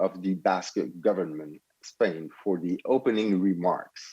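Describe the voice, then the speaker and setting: With a Quebec accent, a man speaks at a moderate pace and fairly low pitch. His tone is dark and mellow, and the sound is dry and close with no echo. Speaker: event moderator. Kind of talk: formal event hosting.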